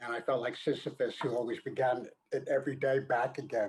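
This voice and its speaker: A man talks at a moderate pace in a fairly high voice. His voice sounds somewhat breathy. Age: 70s. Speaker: talk show guest. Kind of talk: casual chat. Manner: halting.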